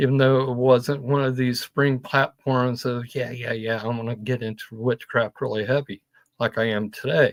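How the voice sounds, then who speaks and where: The sound is dry and close, with no echo, as a man speaks in an unremarkable speaking voice. He keeps a moderate pace, medium pitch and fairly even intonation. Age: 60s. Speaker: witchcraft practitioner and co-host. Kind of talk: casual chat.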